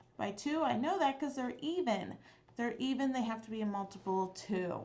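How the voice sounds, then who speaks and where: With audible room echo, a woman speaks at a moderate pace using lively intonation. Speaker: math teacher. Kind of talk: tutorial.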